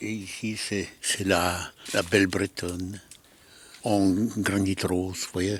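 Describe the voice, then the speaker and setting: A man talks at a very slow pace. His fairly low voice holds a monotone, flat intonation. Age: 90s. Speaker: sculptor and Holocaust survivor. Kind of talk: casual interview in studio. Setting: artist's workshop. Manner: halting, repeating words.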